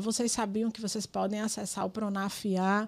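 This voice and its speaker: Monotone, flat intonation at a fairly slow pace, on a very clean recording with a silent background. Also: woman. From Brazil, Rio Grande do Norte (Pedro Avelino). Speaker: politician and community activist. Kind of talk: podcast interview.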